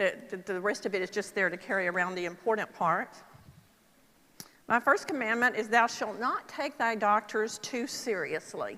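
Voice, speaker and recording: Woman with a Texas accent, bright, sharp tone and fairly high pitch, at a moderate pace with ordinary pitch variation. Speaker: Parkinson's nurse specialist speaker. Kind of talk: conference talk. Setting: stage with audience. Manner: conversational, with filler ums.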